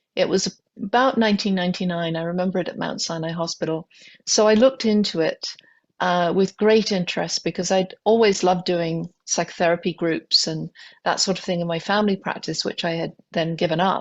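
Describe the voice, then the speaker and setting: Fairly quick and fairly even in intonation, a woman speaks at a medium pitch with a British accent. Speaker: physician, pain specialist. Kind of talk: podcast interview. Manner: halting, many fillers.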